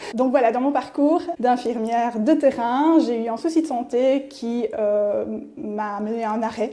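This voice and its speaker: Fairly slow speech from a woman with a fairly high pitch, over noticeable background noise. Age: 40s. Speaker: nurse. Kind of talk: interview testimony. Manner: hesitant, many fillers.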